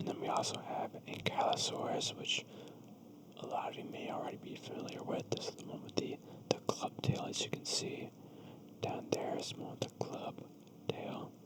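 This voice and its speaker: Someone whispers in a gentle tone at a moderate pace. Noticeable background noise can be heard. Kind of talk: ASMR whisper reading of a children's book with casual ramble. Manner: soft-spoken, gentle whisper.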